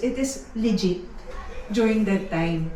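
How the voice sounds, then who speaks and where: Loud and animated, a woman speaks through noticeable background noise and audible room echo. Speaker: preacher. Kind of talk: sermon. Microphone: speaking without a microphone.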